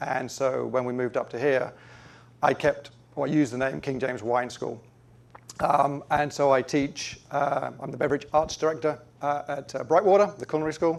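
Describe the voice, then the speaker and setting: A man with an American accent speaks at a fairly high pitch. His pace is moderate, with ordinary pitch variation. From England. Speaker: wine educator and shop owner. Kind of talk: interview. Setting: TV studio.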